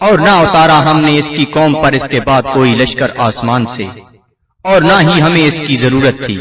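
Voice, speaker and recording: This man speaks at a fairly slow pace in a normal speaking voice, fairly high in pitch, with ordinary pitch variation. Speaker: Urdu translation reader. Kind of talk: translation reading.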